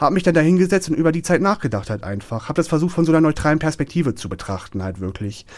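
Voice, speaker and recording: A man talks at a very fast pace and a fairly high pitch, his voice swinging very widely in pitch and showing vocal fry. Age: 20s. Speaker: bullying survivor. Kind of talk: interview testimony. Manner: hesitant with many fillers.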